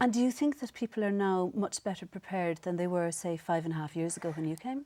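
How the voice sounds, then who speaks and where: Talking at a very fast pace with an Irish accent, a woman uses lively intonation at a medium pitch. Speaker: TV presenter. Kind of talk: interview.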